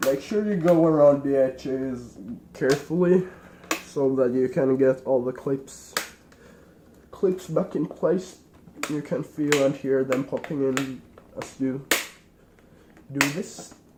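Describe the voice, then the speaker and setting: Very slow speech with long, frequent pauses, set against noticeable background noise. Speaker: tech tutorial maker. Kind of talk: tutorial. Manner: casual.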